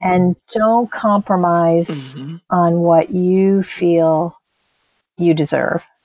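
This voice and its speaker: Speaking at a very slow pace, a woman with a fairly low pitch uses ordinary pitch variation in a dry, close sound with no echo. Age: 60s. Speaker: textile artist and small business owner. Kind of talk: interview.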